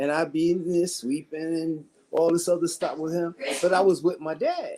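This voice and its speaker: This man's voice sits high in pitch with a dark, mellow tone, captured in a very clean recording with a silent background. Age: 60s. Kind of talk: panel discussion. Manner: animated.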